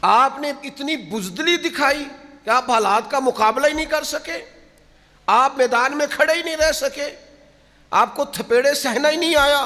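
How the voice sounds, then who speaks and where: A man speaks in a raised, projected voice at an extremely high pitch. Noticeable background noise runs underneath. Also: ordinary pitch variation. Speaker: Islamic preacher. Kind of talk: religious sermon (bayan). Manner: emotional, admonishing, preacher-like delivery.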